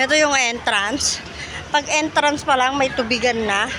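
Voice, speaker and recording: Over crowd noise and audible room echo, a woman with a high pitch speaks in a raised, projected voice. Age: old. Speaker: vlogger. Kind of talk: walking tour vlog. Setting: outdoors in a park. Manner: animated.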